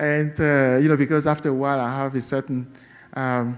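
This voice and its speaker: A Cameroonian accent at a moderate pace. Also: man. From western Cameroon. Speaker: novelist. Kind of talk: interview. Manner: halting, many fillers.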